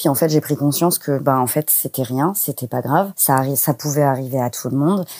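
On a very clean recording with a silent background and a dry, close sound with no echo, a woman speaks at a moderate pace in a very deep, low pitch with a dark, mellow tone and ordinary pitch variation. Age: 20s. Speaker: office assistant. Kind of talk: personal testimony interview. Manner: hesitant, many fillers.

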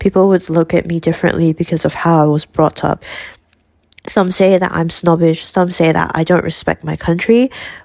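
A woman speaks with a Malaysian accent at a fairly quick pace. Her pitch is fairly low and her intonation fairly even. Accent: Malaysian English (Manglish). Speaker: student. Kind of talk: interview.

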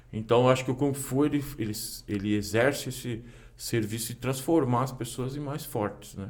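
At a moderate pace, a man talks in an ordinary speaking voice with ordinary pitch variation. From Brazil, São Paulo city. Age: 40s. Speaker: kung fu teacher. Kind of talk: casual chat.

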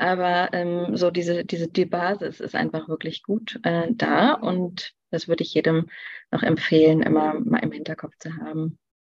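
In an ordinary speaking voice, the speaker keeps a moderate pace with ordinary pitch variation. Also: woman, fairly low pitch for a woman. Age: 30s. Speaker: nutrition expert. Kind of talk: interview.

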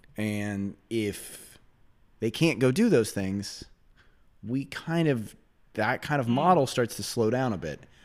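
With lively intonation and long, frequent pauses, a man speaks on a very clean recording against a silent background. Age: 40s. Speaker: financial representative. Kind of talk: casual interview. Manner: fast talker; high energy.

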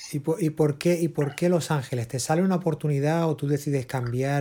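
With a somewhat breathy quality, a man talks at a moderate speed and keeps his intonation fairly even. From Spain (Barcelona). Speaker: podcast host, musician and producer. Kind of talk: interview.

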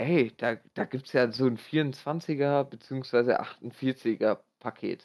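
A man's voice, dry and close with no echo. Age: 20s. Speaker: podcast guest. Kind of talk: casual chat. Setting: online voice call.

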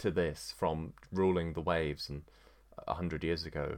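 A man speaks at a fairly slow pace with a very deep, low pitch and vocal fry. The recording is very clean, with a silent background. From England. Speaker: podcaster. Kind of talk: solo monologue podcast. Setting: at home with dog. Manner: halting, many fillers.

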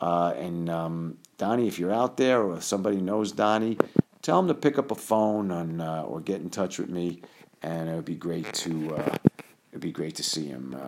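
Speaking in a New York accent, this voice moves at a moderate pace. The intonation is lively. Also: man, very deep, low pitch for a man. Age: 50s. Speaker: doctor and podcast host. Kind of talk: casual storytelling monologue. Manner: hesitant, many fillers.

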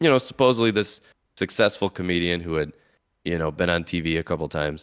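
A man talks with a very deep, low pitch. The sound is dry and close, with no echo. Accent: American. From US Midwest. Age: 30s. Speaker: podcast host and comedian.

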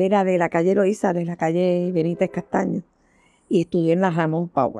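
Delivered at a moderate pace, the voice has a dark, mellow tone and a dry, close sound with no echo. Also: woman. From Puerto Rico, Santurce (San Juan). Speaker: social worker. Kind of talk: oral history interview. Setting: at home.

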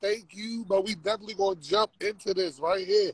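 A man with an American accent and a high pitch, ordinary pitch variation and a moderate pace, in a dry, close sound with no echo. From Maryland. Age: 30s. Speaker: interview show host. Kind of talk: casual interview.

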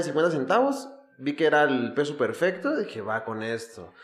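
Man at a moderate pace with very wide pitch swings, amid noticeable background noise. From Mexico (Ecatepec, State of Mexico). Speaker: podcast host, comedian and DJ. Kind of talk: casual chat.

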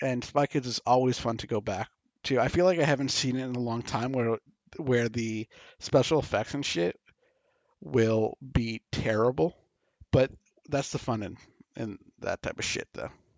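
Pausing often and at length, a man speaks at a moderate pace in a medium pitch with ordinary pitch variation. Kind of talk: mock ring announcer intro, parody of a boxing bout call.

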